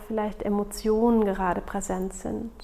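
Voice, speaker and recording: A woman speaks at a medium pitch in a calm, soothing tone. Her intonation stays monotone and flat. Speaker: podcast host and meditation guide. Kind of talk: guided meditation. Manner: slow, calm and soothing, with long pauses; soft-spoken and gentle, intimate tone.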